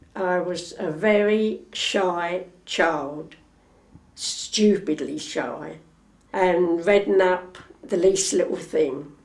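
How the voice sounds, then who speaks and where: A woman at a very slow pace, medium in pitch with fairly even intonation, in audible room echo. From East London. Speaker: retired factory worker. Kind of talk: oral history interview.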